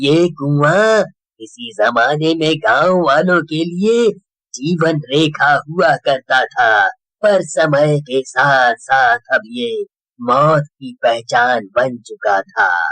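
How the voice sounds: Putting on a cartoonish character voice, a man speaks at a fairly high pitch. His pace is very slow. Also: lively intonation.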